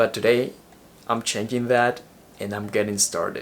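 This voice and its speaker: In an Ecuadorian accent, a man speaks with fairly even intonation. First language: Spanish. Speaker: vlogger. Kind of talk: vlog monologue.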